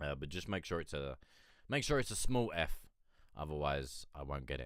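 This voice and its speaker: A man with a very deep, low pitch and vocal fry speaks at a moderate pace with lively intonation. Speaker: independent music reviewer / live streamer. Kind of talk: casual live-stream chat. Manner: hesitant, rambling.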